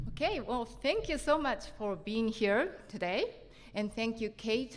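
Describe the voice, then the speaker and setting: A woman's fairly high-pitched voice at a fairly slow pace, with lively intonation and a Japanese accent. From Japan, Tokyo. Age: 50s. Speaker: printmaker and lecturer. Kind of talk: conference talk. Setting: stage with audience.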